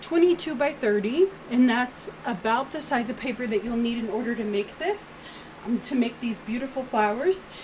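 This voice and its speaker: With music in the background, a woman speaks loudly at a moderate pace in a high voice. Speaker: craft tutorial YouTuber. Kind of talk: tutorial. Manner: casual, chatty.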